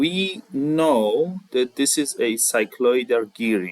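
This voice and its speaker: This man speaks with a non-native accent. His intonation is lively. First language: not English. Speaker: CAD tutorial creator. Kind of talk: tutorial. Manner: halting, with many fillers.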